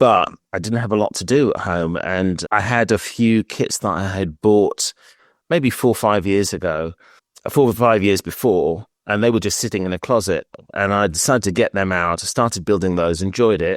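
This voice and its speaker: In a British accent, a man with a fairly low pitch speaks at a moderate pace with ordinary pitch variation, the sound dry and close with no echo on a very clean recording with a silent background. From Britain. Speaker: scale modeller, flight attendant. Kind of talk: interview.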